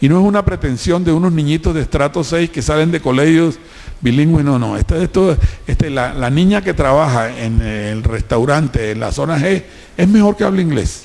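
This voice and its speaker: A man's fairly high voice with a Colombian Caribbean accent, lively intonation and a moderate pace, over noticeable background noise. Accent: costeño. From Colombian Caribbean coast, Cartagena. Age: 70s. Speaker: businessman. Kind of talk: public talk. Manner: animated.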